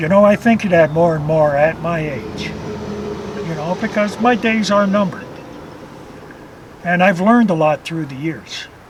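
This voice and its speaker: Noticeable background noise surrounds a man speaking at a fairly slow pace. His voice is high-pitched, with lively intonation. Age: 60s. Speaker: carp angler. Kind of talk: interview.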